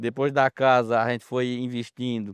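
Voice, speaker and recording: The sound is dry and close, with no echo. The speaker goes at a fairly slow pace. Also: man, quiet background. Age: 70s. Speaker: farmer. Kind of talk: documentary interview testimony.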